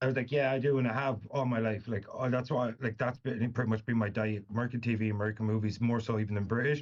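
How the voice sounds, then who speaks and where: A man at a medium pitch, very fast and with hardly any pauses, in monotone, flat intonation at very even loudness. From Irish Midlands. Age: 30s. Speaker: author. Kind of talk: casual interview chat.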